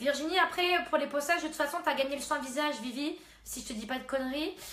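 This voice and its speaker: A woman speaks at a fairly quick pace in a high pitch with ordinary variation. Audible room echo surrounds her voice. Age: 20s. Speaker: beautician. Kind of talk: live stream beauty advice. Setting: live stream at home. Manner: hesitant, many fillers.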